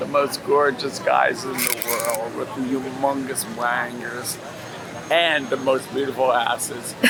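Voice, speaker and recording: A man speaks at a very slow pace. Audible room echo and noticeable background noise are present. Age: 80s+. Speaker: passerby. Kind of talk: casual chat.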